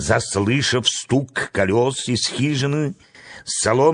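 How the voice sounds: A natural reading voice, with ordinary pitch variation.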